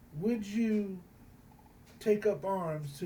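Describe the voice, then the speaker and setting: A man at a very slow pace, with audible room echo. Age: 60s. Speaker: student. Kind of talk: recorded class assignment response. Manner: halting, many fillers and repetitions.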